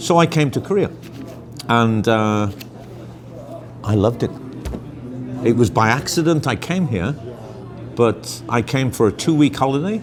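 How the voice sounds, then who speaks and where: A man with a Birmingham accent speaks at a moderate pace and medium pitch, his voice swinging very widely in pitch over music in the background. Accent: English Midlands (Birmingham). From England, Birmingham. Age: 60s. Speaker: interviewee, expat traveller. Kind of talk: casual interview.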